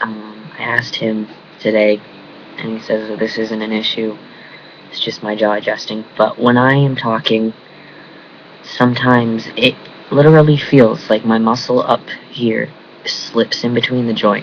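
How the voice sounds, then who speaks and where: A man speaks at medium pitch and a moderate pace, with monotone, flat intonation. Long, frequent pauses break his speech, and background noise is noticeable. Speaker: vlogger. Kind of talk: casual vlog. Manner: speaks through teeth, mumbling.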